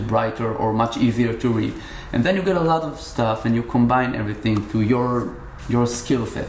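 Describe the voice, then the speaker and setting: Speaking fairly quickly with an Israeli accent, a man uses medium pitch and ordinary pitch variation amid noticeable background noise and audible room echo. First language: Hebrew. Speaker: musician. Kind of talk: casual interview. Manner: halting.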